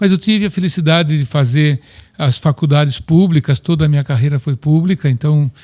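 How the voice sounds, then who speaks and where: A man speaks at a moderate pace with a fairly high pitch, a somewhat breathy, dark, mellow tone and fairly even intonation, in a dry, close sound with no echo. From Brazil, Piracicaba (São Paulo state). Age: 70s. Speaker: company president, agronomist. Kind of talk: interview.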